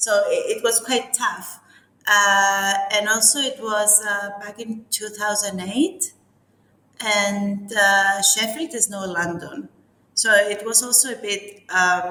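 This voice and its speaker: A woman's fairly high voice with a strong Cypriot accent, at a very slow pace. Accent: strong Greek Cypriot. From Cyprus. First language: Greek. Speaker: architect. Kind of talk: interview.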